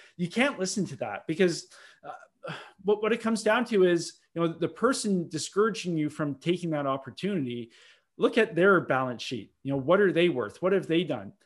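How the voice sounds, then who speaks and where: Here a man with an Ontario accent talks at a high pitch with very wide pitch swings and a fairly quick pace. The recording is very clean, with a silent background. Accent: Canadian (Ontario). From Ontario, Canada (Milton, near Toronto). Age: 30s. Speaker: real estate investor and broker. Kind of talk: podcast interview.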